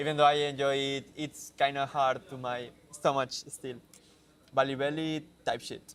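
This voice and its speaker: A man at a fairly high pitch, moderate pace and monotone, flat intonation. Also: big swings in loudness. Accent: Spanish. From Mexico. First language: Spanish. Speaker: software developer. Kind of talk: live stream casual chat. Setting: coworking space. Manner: halting.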